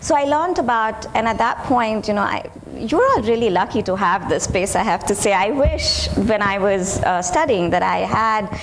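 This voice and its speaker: Over noticeable background noise and audible room echo, a woman with a fairly high pitch talks at a moderate pace with lively intonation. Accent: Indian. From India. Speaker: professor and family therapist. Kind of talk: lecture.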